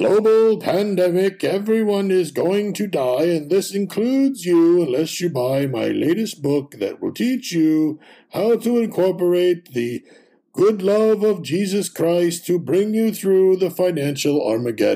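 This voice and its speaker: Putting on a character voice, a man talks at a fairly slow pace with a high pitch and lively intonation. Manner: scary, ominous.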